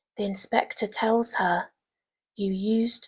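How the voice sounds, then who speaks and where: In a dry, close sound with no echo, a soft-spoken woman with a fairly high pitch talks in a somewhat breathy voice with monotone, flat intonation. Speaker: English literature teacher. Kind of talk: ASMR revision lecture.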